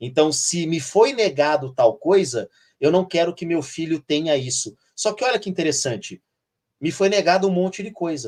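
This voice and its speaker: A man with an unremarkable speaking voice and a fairly high pitch talks at a moderate pace. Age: 50s. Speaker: teacher. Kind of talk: live stream conversation. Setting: live stream. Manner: frequent fillers like tá and né.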